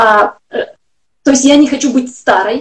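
High pitch from a woman, with little noise behind. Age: 40s. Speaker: health blogger. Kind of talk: interview. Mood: earnest, personal. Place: home room. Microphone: video call.

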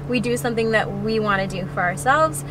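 A woman with a fairly low pitch speaks in a dry recording with no echo, though background noise is noticeable. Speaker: interview guest. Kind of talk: interview answer. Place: car. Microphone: phone near.

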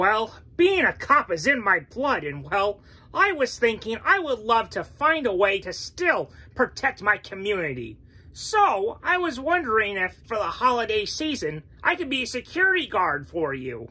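In a cartoonish character voice, the speaker moves at a moderate pace with very wide pitch swings. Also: female-sounding voice, fairly high pitch for a woman. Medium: puppet show. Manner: earnest, hesitant, lots of 'well'.

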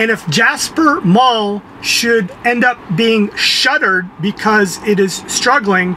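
A man talks at a very slow pace with a high pitch and ordinary pitch variation. His voice is raised and projected over light background noise. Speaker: entertainment show host. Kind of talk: casual talk to camera. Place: car. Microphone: phone near.

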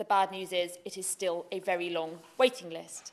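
The woman talks at a fairly slow pace. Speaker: legislator speaking in debate. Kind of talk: parliamentary speech. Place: hall. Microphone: podium.

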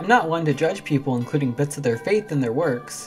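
Music plays in the background as someone talks at a moderate pace. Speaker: video essayist. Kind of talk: video essay narration. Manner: sarcastic, comedic.

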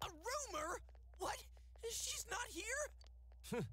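A squeaky, put-on character voice comes through over clear background noise. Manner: dramatic, distressed.

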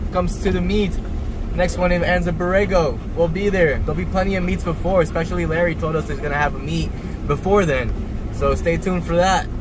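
A man's fairly quick delivery comes through with noticeable background noise. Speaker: vlogger. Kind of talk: casual vlog chat. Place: car. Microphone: phone near.

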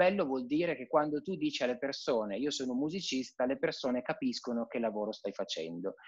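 A man's fairly quick speech with very wide pitch swings and hardly any pauses against a quiet background. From Piedmont, Italy. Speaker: cellist and conservatory teacher; conservatory teacher. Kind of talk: casual interview chat. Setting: live video call. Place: home room. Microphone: video call.

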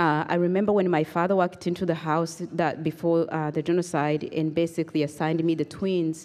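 A woman's fairly low, monotone voice with flat intonation, very even loudness and hardly any pauses. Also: fairly quick pace. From Rwanda. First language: Kinyarwanda or French (not English). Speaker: genocide survivor and human rights advocate. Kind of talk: testimony. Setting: stage with audience. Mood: earnest, reflective. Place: hall. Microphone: handheld.

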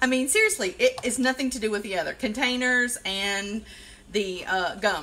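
A woman's fairly high-pitched voice with lively intonation and a Southern US accent, over light background noise. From South Carolina. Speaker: occupational therapist and DIY vlogger; home DIY live streamer. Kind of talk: casual live-stream tutorial; casual vlog chat. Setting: Facebook Live video. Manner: rambling, chatty with fillers. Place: kitchen. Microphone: phone near.

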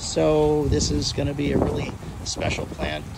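Recorded with a dry sound and no echo, a man's voice comes over noticeable background noise. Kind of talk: casual tour commentary. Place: garden. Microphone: phone near.

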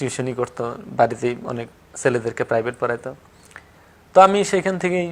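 With lively intonation, a man talks at a medium pitch. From Tangail, Bangladesh. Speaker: local journalist, former air force member. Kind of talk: interview, personal life story. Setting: studio. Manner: halting.

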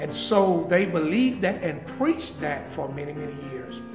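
A man's high-pitched voice over clear background music. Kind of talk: interview answer.

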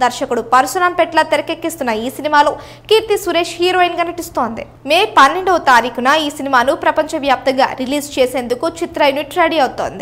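Her voice sits high in pitch. This woman's pitch moves in an ordinary way. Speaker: news presenter. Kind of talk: entertainment news voice-over.

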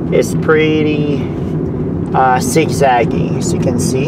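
Someone speaks at a very slow pace in a dry sound with no echo, over loud background noise. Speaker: driver vlogger. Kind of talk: casual vlog chat. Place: car. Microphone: camera far.

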